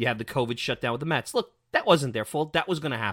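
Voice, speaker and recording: A man speaks with a New York accent and ordinary pitch variation. The sound is dry and close with no echo, in a very clean recording with a silent background. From New York City (Brooklyn). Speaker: sports podcast host. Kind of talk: opinion commentary podcast. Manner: animated.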